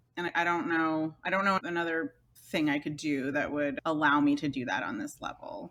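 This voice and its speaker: A woman with a very deep, low pitch talks at a fairly quick pace, using ordinary pitch variation. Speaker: master printer and print publisher. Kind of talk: interview. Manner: loud.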